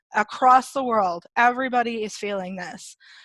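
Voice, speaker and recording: Against a quiet background, a voice in a Canadian accent moves at a fairly slow pace with ordinary pitch variation, its tone bright and sharp and the sound dry with no echo. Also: woman. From Canada. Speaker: product trainer and designer; product trainer. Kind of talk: webinar presentation. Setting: video webinar. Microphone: video call.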